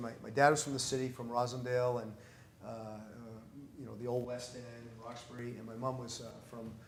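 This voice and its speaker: With a Boston accent, a man at medium pitch talks at a very fast pace in a somewhat breathy voice, his intonation fairly even but his loudness swinging widely, with long, frequent pauses and audible room echo. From US New England, North Reading Massachusetts. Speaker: priest. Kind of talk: interview conversation. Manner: casual, many repetitions.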